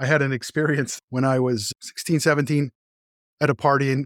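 A man with a Californian accent talks at a fairly quick pace on a very clean recording with a silent background. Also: dry, close sound with no echo. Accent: Californian American English. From Los Angeles area, California. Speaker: guest telling conversion story. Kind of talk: interview testimony.

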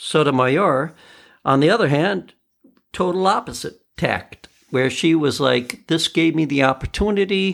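In a normal speaking voice, a man talks fairly slowly at a fairly high pitch with ordinary pitch variation. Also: very clean recording, silent background. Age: 50s. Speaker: podcast host and musician. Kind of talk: casual solo commentary.

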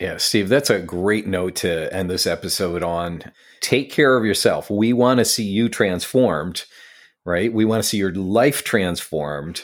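A man with an American accent, a plain, everyday voice and fairly low pitch, ordinary pitch variation, a fairly slow pace, and a very clean recording with a silent background. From upstate New York (Syracuse). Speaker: podcast co-host and coach. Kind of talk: casual chat.

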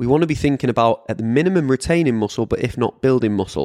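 A man speaks very fast in a British accent, his pitch varying in an ordinary way. The recording is very clean and dry, close-up with no echo, over a silent background. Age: 30s. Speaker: fitness coach podcast host. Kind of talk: solo podcast monologue. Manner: casual, chatty.

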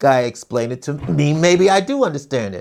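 Here a man talks at a moderate pace. His fairly high pitch swings very widely. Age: 70s. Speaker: solo podcast host. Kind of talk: casual rant monologue. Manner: halting, with many restarts and fillers.

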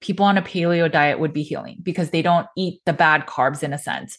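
A woman with an unremarkable speaking voice talks at a fairly low pitch with ordinary pitch variation. The background is quiet. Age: 40s. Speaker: nutrition practitioner and podcast host. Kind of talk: solo explainer monologue.

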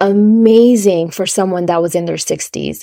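A woman talks at a moderate pace in an unremarkable speaking voice. Her pitch is medium and her intonation fairly even. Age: 30s. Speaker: podcast host. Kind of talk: solo podcast monologue.

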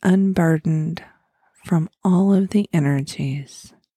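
In a dry, close recording with no echo, a woman with an American accent speaks very slowly in a soothing, calm, dark and mellow voice that is somewhat breathy and has ordinary pitch variation. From Oklahoma, US. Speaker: podcast host, spiritual guide. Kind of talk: guided meditation (fall imagery, letting go). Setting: recorded podcast. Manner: slow, soothing, calm; gentle, repetitive, hypnotic pacing.

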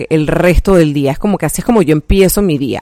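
Ordinary pitch variation in a woman's normal speaking voice. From Panama. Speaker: health coach and podcast host. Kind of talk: personal faith testimony monologue. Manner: casual, many fillers.

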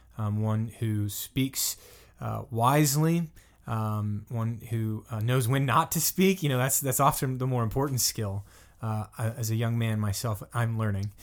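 In an American accent, a man with an ordinary speaking voice talks at a fairly slow pace and medium pitch with ordinary pitch variation, on a very clean recording with a silent background. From US South. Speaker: assistant pastor, podcast host. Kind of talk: casual interview.

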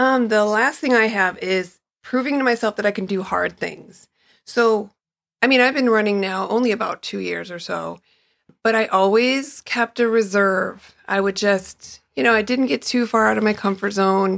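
Against a silent background in a very clean recording, a woman with an American accent speaks at a moderate pace. She has an unremarkable speaking voice, fairly high in pitch with ordinary pitch variation. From Chicago. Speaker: runner, guest host. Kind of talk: casual chat.

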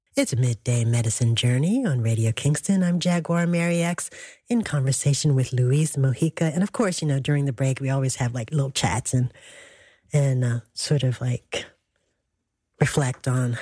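A woman speaks with a very deep, low pitch and a dark, mellow tone, somewhat breathy. The recording is very clean with a silent background. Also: ordinary pitch variation, moderate pace. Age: 60s. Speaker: radio host. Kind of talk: radio interview.

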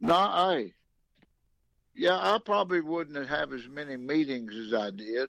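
The speaker has a Southern US accent and very wide pitch swings. Long, frequent pauses break up the speech. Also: man, fairly high pitch for a man, fairly slow pace. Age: 80s+. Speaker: former baseball manager. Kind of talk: casual interview.

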